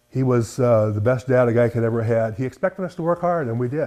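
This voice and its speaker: A man with an Upper Midwest accent talks at a fairly quick pace. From South Dakota (near Garretson). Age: 70s. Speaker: farmer and collector, retired teacher. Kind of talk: interview, casual storytelling.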